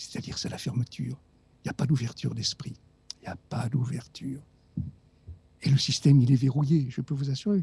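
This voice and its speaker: A man with a dark, mellow, somewhat breathy tone talks at a fairly quick pace with ordinary pitch variation and long, frequent pauses. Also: medium pitch for a man. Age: 70s. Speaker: doctor and author. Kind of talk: radio interview. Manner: animated.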